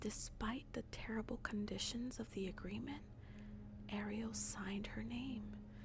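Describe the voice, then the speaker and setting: A woman is whispering. Her pace is very slow. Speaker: ASMR storyteller. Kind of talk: bedtime story reading. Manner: soft-spoken.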